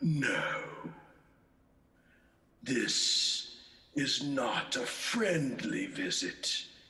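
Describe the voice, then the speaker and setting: In a put-on character voice, a man speaks at a high pitch with very wide pitch swings, a very slow pace and long, frequent pauses, with a slight echo. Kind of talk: radio play performance. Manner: stern, scolding.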